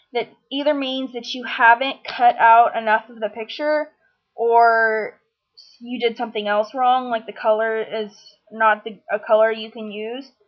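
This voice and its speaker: In an ordinary speaking voice, a woman talks at a fairly slow pace and fairly high pitch, with fairly even intonation and big swings in loudness. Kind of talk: software tutorial narration.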